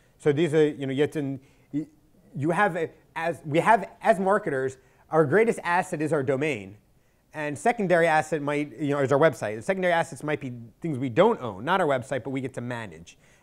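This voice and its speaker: A man's fairly high voice with lively intonation at a fairly quick pace. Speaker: marketing agency owner giving a talk. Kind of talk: presentation at a meetup. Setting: meetup event with audience. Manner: fast; halting with fillers.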